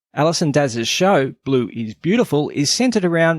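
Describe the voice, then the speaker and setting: On a very clean recording with a silent background and a dry, close sound with no echo, a man with an Australian accent speaks at a fairly high pitch and a moderate pace. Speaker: podcast host. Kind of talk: casual interview chat; scripted intro.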